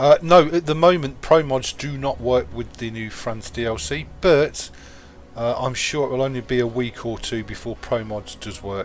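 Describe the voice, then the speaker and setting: Over noticeable background noise, a man with a medium-pitched voice speaks at a moderate pace, his intonation lively and his loudness swinging widely. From England. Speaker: gaming live streamer. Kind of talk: live gameplay commentary. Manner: casual, chatty.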